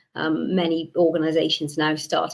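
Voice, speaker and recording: A woman with a Welsh accent at a moderate pace. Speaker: webinar guest speaker. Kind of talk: presentation. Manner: frequent word repetitions.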